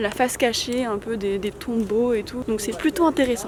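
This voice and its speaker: High-pitched female speech over noticeable background noise. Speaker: video reporter. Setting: outdoors in a cemetery.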